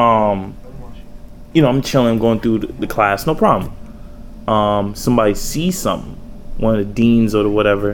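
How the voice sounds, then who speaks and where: This man talks in a Bronx accent, with fairly low pitch and ordinary pitch variation. Long, frequent pauses break his speech, and audible room echo surrounds it. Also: moderate pace. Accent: New York, Bronx. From New York City, the Bronx. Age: young. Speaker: rapper and graffiti artist. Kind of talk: casual interview.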